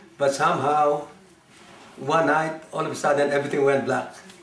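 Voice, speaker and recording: Through audible room echo and noticeable background noise comes a man with a fairly high pitch and fairly even intonation. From Philippines (Manila). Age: 70s. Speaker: war survivor. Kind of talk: oral history interview. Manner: halting, many fillers.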